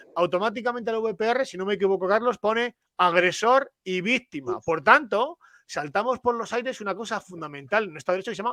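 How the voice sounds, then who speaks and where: This man speaks in a raised, projected voice with a high pitch and lively intonation. His tone is bright and sharp, and the sound is dry and close with no echo. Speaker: father's rights activist. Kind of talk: panel discussion. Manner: halting.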